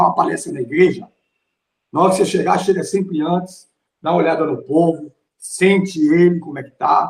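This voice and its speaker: A man's high-pitched voice at a moderate pace. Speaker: pastor and theology teacher. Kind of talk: lecture. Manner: forceful, strong tone.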